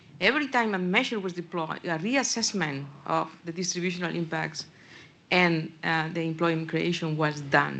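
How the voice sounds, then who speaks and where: A woman talks in a Spanish accent. Her tone is bright and sharp, and her pitch is fairly low. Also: ordinary pitch variation, moderate pace. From Spain. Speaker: audience member, policy official. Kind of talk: panel Q&A question.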